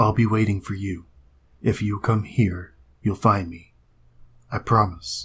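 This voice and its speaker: Using a put-on character voice, a man talks at a fairly low pitch and fairly slow pace, leaving long, frequent pauses. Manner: reserved, calm.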